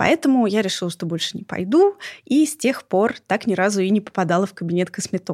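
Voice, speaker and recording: A woman with an ordinary speaking voice talks at a medium pitch and a moderate pace, with lively intonation. The very clean recording has a silent background and a dry, close sound with no echo. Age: 30s. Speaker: podcast host, former TV presenter. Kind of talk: scripted narration; casual chat. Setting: studio.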